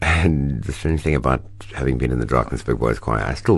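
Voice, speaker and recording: Over noticeable background noise, a man with a very deep, low voice speaks with lively intonation. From South Africa, Cape Town. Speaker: actor. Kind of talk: interview. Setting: radio studio.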